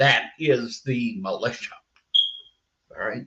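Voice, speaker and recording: A man with an American accent, a bright, sharp tone and vocal fry. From Massachusetts, US. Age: 80s+. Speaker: army veteran. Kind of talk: live show monologue. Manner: animated.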